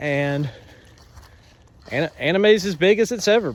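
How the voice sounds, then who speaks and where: With a rural Southern US accent, a man talks in very wide pitch swings. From US South, North Georgia mountains. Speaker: anime shop owner. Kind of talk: casual monologue. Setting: outdoors, on a walk. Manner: halting, many fillers.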